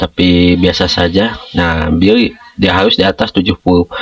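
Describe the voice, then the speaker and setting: A man speaking at a fairly slow pace with music in the background. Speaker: school operator, education tutorial maker. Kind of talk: screen-share tutorial. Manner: informal, many fillers (nah, ya).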